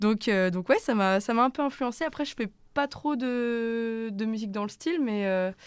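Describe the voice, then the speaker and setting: On a very clean recording with a silent background, a woman speaks at a fairly high pitch. Her pace is moderate, with ordinary pitch variation. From Brittany, France. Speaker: singer-songwriter. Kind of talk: radio interview. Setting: radio studio. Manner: hesitant, many fillers; casual, slangy.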